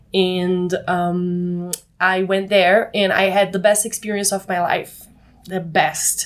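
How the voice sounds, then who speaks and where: With a Brazilian accent, a woman speaks at medium pitch. Her pace is very slow and her intonation monotone and flat. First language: Portuguese. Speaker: co-living space manager. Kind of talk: interview. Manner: halting.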